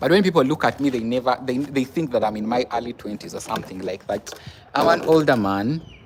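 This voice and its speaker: Delivered at a very fast pace with lively intonation, the speech sits over noticeable background noise. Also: man, medium pitch for a man. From Uganda. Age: 20s. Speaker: nurse and live streamer. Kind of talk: casual live stream chat. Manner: halting.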